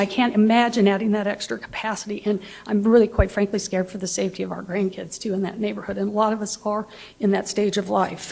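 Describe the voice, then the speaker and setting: Over noticeable background noise, a woman with an American accent talks very fast. Her medium-pitched voice stays flat and monotone. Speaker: resident speaking at public meeting. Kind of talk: public comment at council meeting. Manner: halting.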